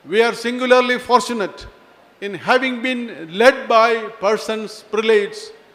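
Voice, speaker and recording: Noticeable background noise accompanies a man whose voice is extremely high for a man, with fairly even intonation. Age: 70s. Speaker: retired police chief, chief guest. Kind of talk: formal speech.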